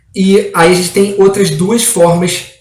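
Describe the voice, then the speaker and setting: Audible room echo hangs on this voice. The speaker is a man. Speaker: exam prep law teacher. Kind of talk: online lecture. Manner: halting.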